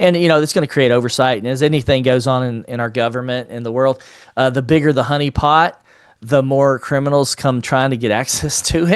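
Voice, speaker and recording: A man with a plain, everyday voice talks at a fairly quick pace and a medium pitch, keeping his intonation fairly even against a quiet background. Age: 50s. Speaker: entrepreneur and financial literacy advocate. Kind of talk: podcast interview.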